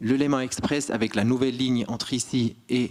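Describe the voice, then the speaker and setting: A man speaks at a medium pitch in a flat monotone. His pace is fairly slow. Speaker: railway manager. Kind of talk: conference talk.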